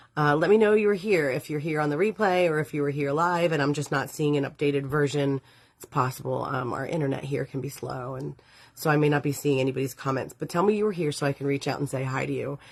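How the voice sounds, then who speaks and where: Talking at a very fast pace, a woman uses a very deep, low pitch with ordinary pitch variation. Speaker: witchcraft teacher and live show host. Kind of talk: live stream talk. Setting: live stream from home.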